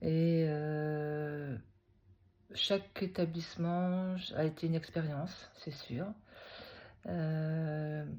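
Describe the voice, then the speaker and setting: In a very clean recording with a silent background, a woman with a fairly low pitch and a dark, mellow tone speaks very slowly with fairly even intonation. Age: 60s. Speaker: retired teacher. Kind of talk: personal testimony vlog. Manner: hesitant, many fillers.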